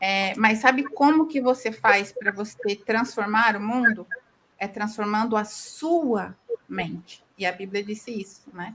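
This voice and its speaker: Speaking at a fairly slow pace, a woman with a plain, everyday voice and a fairly high pitch shows ordinary pitch variation and big swings in loudness. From southern Brazil, interior of Paraná. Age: 40s. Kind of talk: podcast interview.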